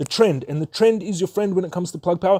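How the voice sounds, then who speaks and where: Very fast and high-pitched, a man's dark, mellow voice moves with ordinary pitch variation, recorded dry and close with no echo. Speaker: stock market youtuber. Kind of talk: investing tutorial.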